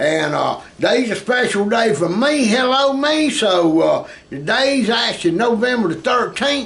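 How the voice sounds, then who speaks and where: Over noticeable background noise, a man with a Southern US accent speaks at an extremely high pitch with very wide pitch swings. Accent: Southern US (Georgia). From US South, South Georgia. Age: 60s. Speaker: music teacher and musician. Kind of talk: casual chat.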